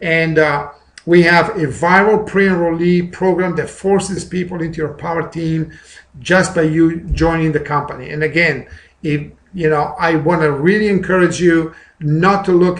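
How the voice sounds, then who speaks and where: A man with a non-native accent speaks at a moderate pace in a high pitch with monotone, flat intonation. There is audible room echo. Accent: noticeable foreign. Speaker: network marketing presenter. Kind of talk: sales pitch. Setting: recorded webinar.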